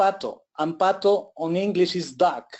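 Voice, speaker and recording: The man's voice sits high, and he talks at a fairly slow pace. His intonation stays fairly even. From Ecuador. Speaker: forex trader. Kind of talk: interview. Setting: online webinar. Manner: halting with many fillers.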